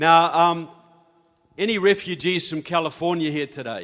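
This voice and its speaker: At a fairly slow pace, a man with a New Zealand accent speaks at a fairly high pitch. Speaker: author and speaker on politics. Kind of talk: conference talk. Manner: conversational, with filler words.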